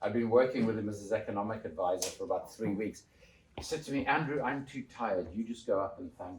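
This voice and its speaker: A man at a fairly quick pace, lively in intonation, over noticeable background noise. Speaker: author and former politician. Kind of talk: public talk. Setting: church hall with audience. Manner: loud. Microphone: microphone switched off after echo.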